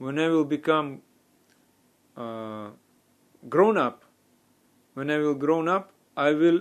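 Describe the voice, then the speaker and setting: A man with a non-native accent, fairly high-pitched, at a fairly slow pace with ordinary pitch variation. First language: not English. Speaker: spiritual teacher. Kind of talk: religious talk. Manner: halting.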